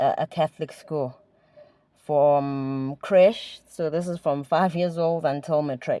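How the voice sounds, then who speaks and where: Very slow delivery comes in a dark, mellow tone with ordinary pitch variation. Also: woman. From small mining town, South Africa. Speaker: theatre director. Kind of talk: casual chat.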